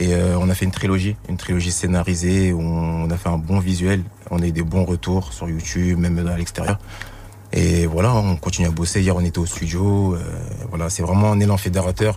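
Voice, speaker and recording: A man speaks at a fairly quick pace in a very deep, low voice with monotone, flat intonation over noticeable background noise. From Val-de-Marne, France. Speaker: rapper. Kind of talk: radio interview. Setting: radio studio.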